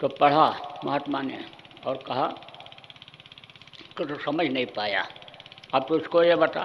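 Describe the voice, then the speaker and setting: A man with a fairly high pitch speaks with long, frequent pauses. Audible room echo and noticeable background noise come through. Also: ordinary pitch variation. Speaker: spiritual guru. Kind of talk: sermon. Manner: stern, forceful.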